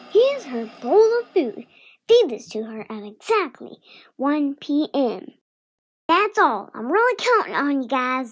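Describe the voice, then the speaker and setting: In a very clean recording with a silent background, a woman uses a high, cartoonish character voice. She talks at a fairly slow pace with very wide pitch swings. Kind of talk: comedy cartoon character dialogue.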